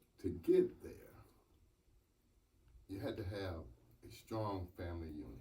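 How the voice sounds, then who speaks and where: With an American accent, a man speaks at a fairly slow pace with long, frequent pauses in a room with audible echo. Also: big swings in loudness. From US South, North Carolina. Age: 70s. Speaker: mayor. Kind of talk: acceptance speech.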